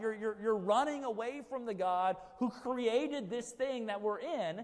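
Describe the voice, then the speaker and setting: A high-pitched man with an American accent, an animated tone, and ordinary pitch variation, in audible room echo. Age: 30s. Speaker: pastor. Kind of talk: sermon.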